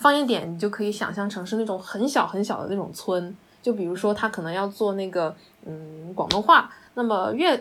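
At a moderate pace and medium pitch, a woman talks with lively intonation in a plain, everyday voice. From Hunan, China. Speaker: dialectology graduate. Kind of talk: casual chat.

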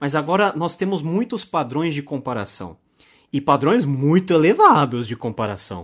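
On a very clean recording with a silent background, a man with fairly high pitch speaks at a moderate pace, his voice making very wide pitch swings. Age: 30s. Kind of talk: casual interview.

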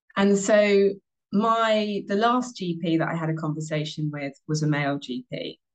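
A woman with a British accent speaks at a fairly slow pace, her pitch varying in an ordinary way. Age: 30s. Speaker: former sports broadcaster, menopause awareness advocate. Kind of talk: interview conversation.

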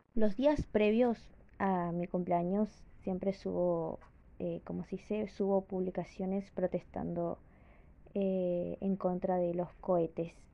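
At a very slow pace, a woman talks in a medium pitch with fairly even intonation. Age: 20s. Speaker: podcaster. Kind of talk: casual monologue. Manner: halting.

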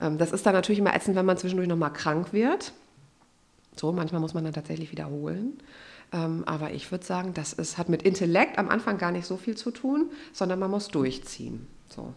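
A woman with a fairly low pitch and vocal fry speaks at a fairly quick pace in an animated tone. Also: ordinary pitch variation. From Germany, Westphalia (Unna). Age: 30s. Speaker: pastor, church recruitment officer. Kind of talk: casual podcast interview.

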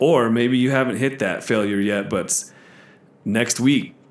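This man has a normal speaking voice, pitched in the middle of his range, with fairly even intonation and a moderate pace. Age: 30s. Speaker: gym manager. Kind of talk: casual chat.

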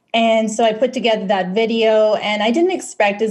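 A woman talks at a fairly quick pace in a fairly high, somewhat breathy voice. Her intonation stays fairly even. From Philippines. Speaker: stake pool operator, video producer. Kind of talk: interview. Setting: phone call.

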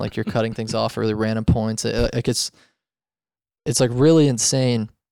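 Very fast speech from a man at medium pitch, fairly even in intonation, on a very clean recording with a silent background. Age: 20s. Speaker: guitarist and composer in a metal band. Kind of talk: casual chat. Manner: halting, many fillers and repeated words.

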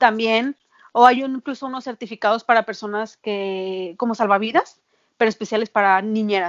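A woman with an unremarkable speaking voice talks at a moderate pace in a fairly high pitch. Her intonation is fairly even, though her loudness swings widely. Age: 30s. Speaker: nanny. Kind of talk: interview.

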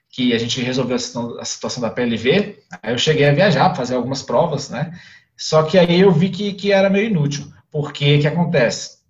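A man with a fairly high, somewhat breathy voice talks at a moderate pace with lively intonation. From Brasília, Brazil. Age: 30s. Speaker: father telling his story. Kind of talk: casual interview. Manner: halting, many fillers.

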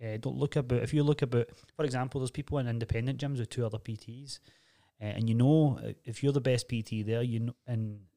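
In a Glaswegian accent, a man speaks at medium pitch with a dark, mellow tone. His intonation is monotone and flat, and the recording is very clean with a silent background. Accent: Glaswegian Scottish. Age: 30s. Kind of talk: casual chat. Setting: studio.

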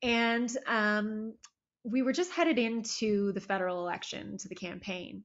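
A woman with a Canadian accent has a plain, everyday voice, fairly high in pitch with ordinary pitch variation. She speaks at a fairly slow pace with big swings in loudness. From Ontario, Canada (Toronto and Barrie area). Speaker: government communications director. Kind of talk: interview.

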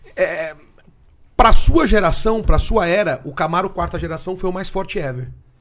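Against noticeable background noise, a man with a high pitch and ordinary pitch variation speaks at a moderate pace with big swings in loudness. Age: 40s. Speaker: muscle car workshop owner. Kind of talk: casual chat.

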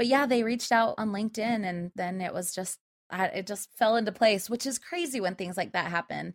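A woman with an American accent speaks at a fairly quick pace in a fairly high voice, her pitch varying in an ordinary way, with a dry, close sound and no echo. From US, central Utah. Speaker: voice actor. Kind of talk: casual chat.

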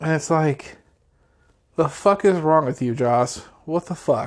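A man talks with ordinary pitch variation, keeping to a fairly slow pace. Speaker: podcast host. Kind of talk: casual solo commentary. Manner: loud; filler-heavy, halting.

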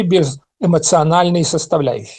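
A man is speaking. His pace is moderate. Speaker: political analyst. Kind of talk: talk.

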